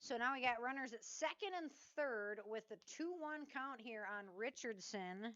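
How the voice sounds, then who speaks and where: Loud and bright with a sharp edge, a woman's high-pitched voice has lively intonation and moves at a fairly slow pace. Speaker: local sports play-by-play announcer. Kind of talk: live commentary. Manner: casual, conversational.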